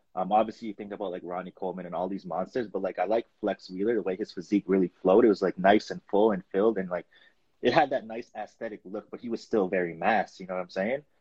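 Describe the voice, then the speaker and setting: Keeping a fairly even intonation, a man with a fairly low pitch talks at a very fast pace. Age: 20s. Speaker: natural bodybuilding competitor. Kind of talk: casual chat.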